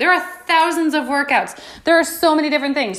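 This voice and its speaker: With an American accent, a woman speaks in a raised, projected voice at an extremely high pitch, her tone animated, bright and sharp, at a moderate pace with audible room echo. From New York. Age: 20s. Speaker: fitness coach and podcast host. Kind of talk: casual motivational monologue.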